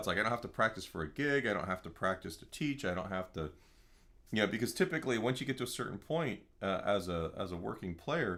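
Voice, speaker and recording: A man's very fast delivery with lively intonation and a bright, sharp tone. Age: 50s. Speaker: guitar teacher. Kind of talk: live online guitar lesson. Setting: live stream. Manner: casual, halting with fillers.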